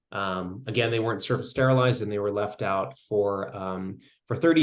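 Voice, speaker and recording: The pitch variation is ordinary. Room echo is audible. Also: man. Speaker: mycology researcher. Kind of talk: lecture. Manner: fast.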